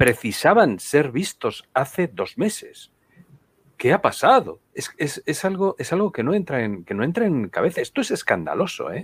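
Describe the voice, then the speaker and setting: High in pitch with very wide pitch swings, a man speaks in a dry, close sound with no echo. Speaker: political commentator. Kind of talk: live-streamed political talk show.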